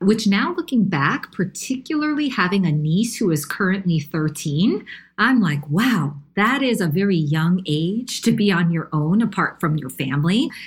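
Somewhat breathy and with an American accent, the speaker moves at a moderate pace through very wide pitch swings. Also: woman. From New York. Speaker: nonprofit CEO. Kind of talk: interview.

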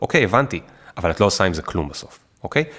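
Vocal fry runs through very fast speech with very wide pitch swings. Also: man. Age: 30s. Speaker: startup founder and author. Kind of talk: casual interview.

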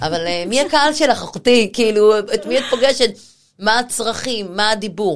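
Fairly high in pitch, a woman speaks at a moderate pace with lively intonation and an animated tone. The recording is very clean, with a silent background. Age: 40s. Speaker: personal stylist. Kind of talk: casual chat.

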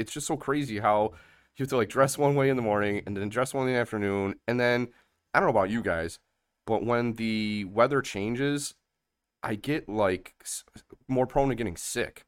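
A man with an American accent speaks in a plain, everyday voice at a medium pitch and a moderate pace. His pitch variation is ordinary, and the recording is very clean with a silent background. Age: 30s. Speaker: podcast host. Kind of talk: casual chat.

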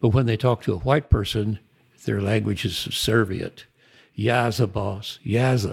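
A man's fairly low, somewhat breathy voice at a fairly slow pace with fairly even intonation, in a very clean recording with a silent background. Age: 80s. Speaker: author and retired civil engineer. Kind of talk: casual interview conversation.

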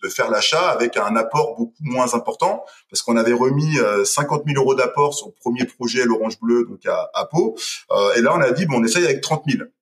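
A man talks at a fairly quick clip. Behind him, music plays in the background. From western France, Deux-Sèvres. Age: 30s. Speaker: entrepreneur. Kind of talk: casual interview.

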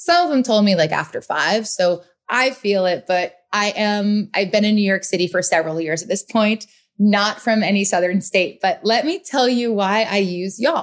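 A woman speaks at a moderate pace with an American accent, her pitch medium and its variation ordinary. It is an ordinary speaking voice, with very even loudness. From US Northeast, Rhode Island. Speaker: podcast host, motivational speaker. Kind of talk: solo podcast monologue. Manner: casual, conversational.

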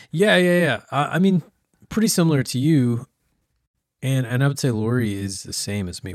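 A man's plain, everyday voice with an American accent, lively intonation and a moderate pace, in a very clean recording with a silent background. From US small town. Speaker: podcast co-host, pastor. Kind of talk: casual chat.

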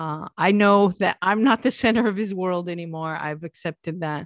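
Her pitch is fairly low, and this woman talks at a moderate pace with ordinary pitch variation. The background is quiet and the sound is dry and close, with no echo. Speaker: podcast host. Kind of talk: casual chat.

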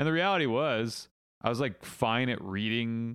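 Here is a man with an ordinary speaking voice at a medium pitch. He speaks at a moderate pace against a quiet background. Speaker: podcast co-host, film club member. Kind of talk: casual chat.

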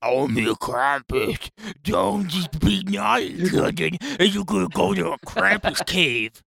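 A put-on character voice at a very slow pace. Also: man, fairly high pitch for a man. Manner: menacing.

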